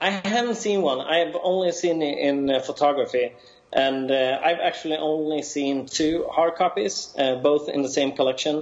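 Over noticeable background noise, a man speaks in a Swedish accent with ordinary pitch variation. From Sweden. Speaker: toy collector and researcher. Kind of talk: casual chat. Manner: halting.

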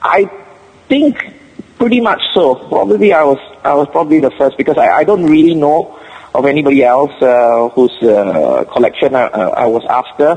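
A man with a Singaporean accent talks at a moderate pace in a fairly high pitch, his intonation lively and his loudness very even. Noticeable background noise runs behind him. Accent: Singapore English. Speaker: collector. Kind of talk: casual chat. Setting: phone call. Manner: halting.

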